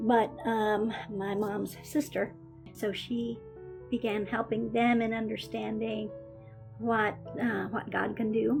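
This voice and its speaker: A woman talks very slowly, pausing long and often, while music plays in the background. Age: 70s. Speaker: childhood leukemia survivor. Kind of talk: interview answer. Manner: hesitant, conversational.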